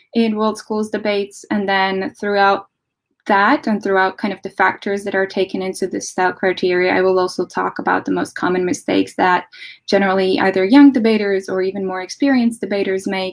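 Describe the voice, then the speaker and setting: In a very clean recording with a silent background, a woman with a Latvian accent talks at a fairly quick pace in a medium-pitched voice. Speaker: debate coach. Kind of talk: lecture.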